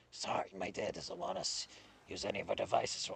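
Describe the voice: A man does a put-on character voice that is hoarse and raspy, talking at a fairly quick pace.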